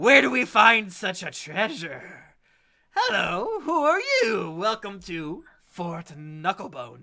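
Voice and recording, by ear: This put-on character voice sounds croaky, set at a middle pitch and moving at a fairly slow pace.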